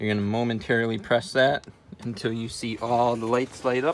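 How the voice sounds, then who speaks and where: Light background noise can be heard. A man speaks at a moderate pace with fairly even intonation. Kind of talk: tutorial. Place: bus. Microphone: phone near.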